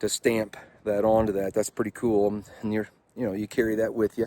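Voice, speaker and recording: Fairly low in pitch, a man speaks at a moderate pace. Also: dry, close sound with no echo. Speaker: motorcycle vlogger. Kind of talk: vlog monologue. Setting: outdoors. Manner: loud; halting.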